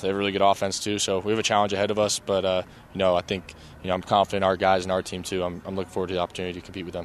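With a fairly low pitch, a man speaks at a very fast pace in a monotone, flat intonation. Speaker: college football quarterback. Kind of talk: press conference interview. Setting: media availability.

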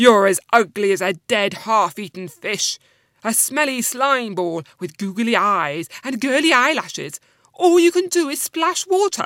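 Growling in a put-on character voice, a female-sounding voice at a fairly high pitch moves at a moderate pace with very wide pitch swings. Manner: growling, insulting.

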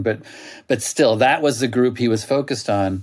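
A man with an American accent, a normal speaking voice and medium pitch talks at a moderate pace with ordinary pitch variation on a very clean recording with a silent background. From US, Oklahoma. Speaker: author and magazine writer. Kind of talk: interview.

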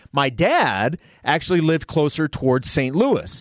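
With an American accent and a fairly high voice, a man speaks at a moderate pace in a dry, close sound with no echo against a quiet background. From Kansas City area, US Midwest. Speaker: guest baseball fan. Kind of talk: casual conversation. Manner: rambling, halting, reflective.

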